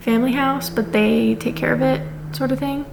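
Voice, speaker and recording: A woman is soft-spoken. There is noticeable background noise. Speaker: book vlogger. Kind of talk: casual vlog. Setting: at her grandparents' house. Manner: quiet, soft-spoken.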